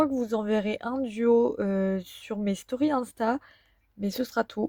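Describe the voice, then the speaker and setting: At a very slow pace, a woman with a fairly high pitch and a dark, mellow tone speaks with lively intonation in a dry, close sound with no echo. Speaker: vlogger. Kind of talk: casual vlog talk to camera. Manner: hesitant, many fillers.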